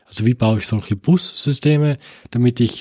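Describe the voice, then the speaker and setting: On a very clean recording with a silent background, a man talks at a moderate pace in a dark, mellow tone that is somewhat breathy. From Austria, Tyrol. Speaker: computer science professor. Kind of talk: interview. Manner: many filler sounds, repeats words.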